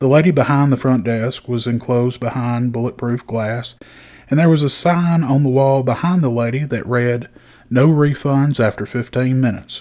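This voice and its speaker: With a Southern US accent, the speaker talks at a moderate pace in a relaxed, dark, mellow tone with fairly even intonation. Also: man, medium pitch for a man. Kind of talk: storytelling podcast. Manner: folksy, relaxed.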